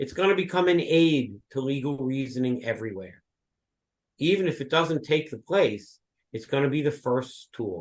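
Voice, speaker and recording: The man has an unremarkable speaking voice and a moderate pace. His intonation is lively and his pitch fairly high. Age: 60s. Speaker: law professor. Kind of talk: lecture; interview answer. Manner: conversational with filler words.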